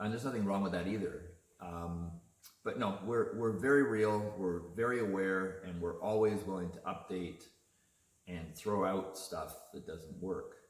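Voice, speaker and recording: In a relaxed tone, a man speaks fairly slowly with a fairly low pitch and fairly even intonation. Room echo is audible. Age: 50s. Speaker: artist and video chat host. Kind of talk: casual chat. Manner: relaxed, with frequent hesitations.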